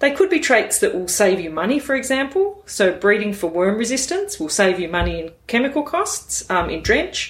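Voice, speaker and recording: A woman with an Australian accent talks at a moderate pace with hardly any pauses. Her fairly high pitch swings very widely. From northwest New South Wales, Australia. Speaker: sheep genetics expert, academic. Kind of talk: interview.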